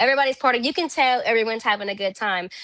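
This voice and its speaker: She talks in a Louisiana accent, her pitch high. Her pitch varies in an ordinary way. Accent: Louisiana Southern US. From Louisiana (Zachary, near Baton Rouge). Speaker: country singer. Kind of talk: interview conversation. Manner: casual, filler-heavy.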